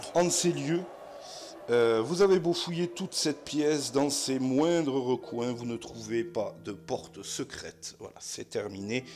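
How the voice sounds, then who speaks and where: Over noticeable background noise, a man with a fairly high pitch speaks at a very slow pace with lively intonation. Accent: southwestern French. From southwest France. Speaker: board game player and narrator. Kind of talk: board game playthrough with narration. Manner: casual, hesitant with frequent fillers.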